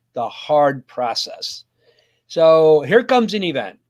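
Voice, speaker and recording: A man talks with an American accent in a normal speaking voice, his pitch fairly high. His intonation is lively, and the recording is very clean with a silent background. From US, conservative Mennonite community. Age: 60s. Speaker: pastor and life coach. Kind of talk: interview.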